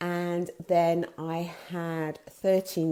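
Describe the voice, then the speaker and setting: A woman with an English accent and a fairly low pitch, dark, mellow tone, in a very clean recording with a silent background. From England. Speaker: business owner and artist. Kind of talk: live video talk. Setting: live video stream. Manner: hesitant, many fillers.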